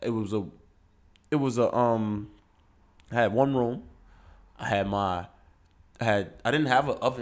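This man's voice sits at a medium pitch with fairly even intonation. His pace is moderate. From US Midwest, St. Louis, Missouri. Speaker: professional basketball player. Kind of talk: interview.

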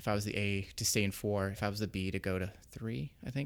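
A normal speaking voice from a man with an American accent, fairly low in pitch and fairly quick in pace, on a very clean recording with a silent background. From Central Florida. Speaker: podcast host. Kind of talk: casual chat.

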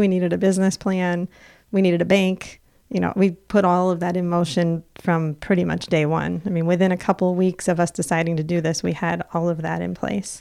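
A woman's fairly low, dark and mellow voice with an American accent, monotone and flat in intonation, at a fairly quick pace in a very clean recording with a silent background. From Plattsburgh, upstate New York. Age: 40s. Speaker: business owner. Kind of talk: interview conversation. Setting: studio.

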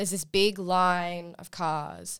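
Silent background and a very clean recording, with an Australian accent. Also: woman. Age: 20s. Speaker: recent university graduate. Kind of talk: casual chat.

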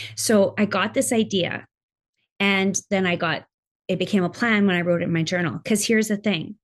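The speaker has an animated tone and a moderate pace. Loudness stays very even against a quiet background. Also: woman, medium pitch for a woman. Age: 50s. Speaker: podcast host and life coach. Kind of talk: interview guest, personal story.

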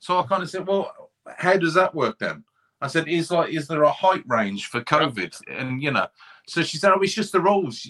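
A man with a Birmingham accent, fairly high pitch, bright, sharp tone, vocal fry, lively intonation and moderate pace. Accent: Birmingham (Brummie). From England, Birmingham. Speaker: podcast guest, commentator. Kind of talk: casual chat.

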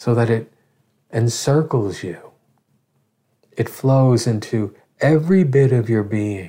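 Dark and mellow, this man's voice sits at medium pitch with a calm tone. The recording is very clean, with a silent background. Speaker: meditation teacher. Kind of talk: guided meditation. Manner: calm, slow, instructive; reassuring, earnest.

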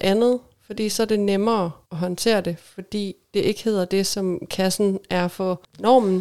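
This woman's dark, mellow tone carries a fairly even intonation. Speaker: sexologist and couples therapist. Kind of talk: interview. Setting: studio.

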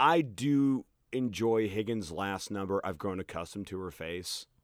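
At a fairly slow pace, a man with an American accent speaks in a fairly low pitch with lively intonation, captured on a very clean recording with a silent background. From US South, Birmingham, Alabama. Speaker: English teacher and film podcaster. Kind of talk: casual chat.

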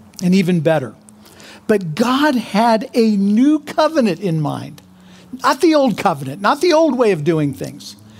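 A high-pitched man with an American accent at a fairly slow pace, pitch swinging very widely, over noticeable background noise. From Kansas. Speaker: pastor. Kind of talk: sermon.

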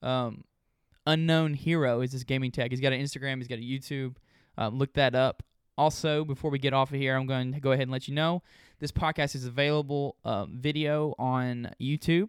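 The man talks at a fairly quick pace with fairly even intonation and a medium pitch. The sound is dry and close with no echo, on a very clean recording with a silent background. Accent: Southern US. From US South, Memphis and north Mississippi. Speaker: podcast co-host. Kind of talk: casual chat. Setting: home recording.

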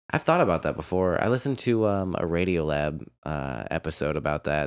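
A man speaks at a fairly quick pace in a very deep, low voice with vocal fry. The recording is very clean, with a silent background. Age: 20s. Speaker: podcast co-host. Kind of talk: casual chat.

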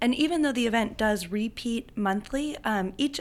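A woman talks at a fairly quick pace in a plain, everyday voice with ordinary pitch variation, on a very clean recording with a silent background. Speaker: events director. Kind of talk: casual interview.

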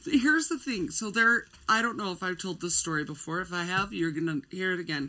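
A woman speaks loudly with very wide pitch swings. Her tone is bright and sharp. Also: medium pitch for a woman. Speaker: podcast co-host. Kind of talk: casual chat. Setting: studio.

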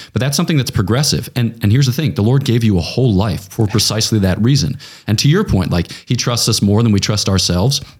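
Somewhat breathy and very fast, the voice runs on with hardly any pauses, lively intonation and very even loudness. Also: man, medium pitch for a man. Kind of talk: casual chat about faith.

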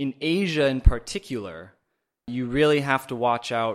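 A man with an American accent and a plain, everyday voice, moderate pace and ordinary pitch variation, in a very clean recording with a silent background. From US Northwest, Oregon. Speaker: manufacturing audit coordinator. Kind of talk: interview.

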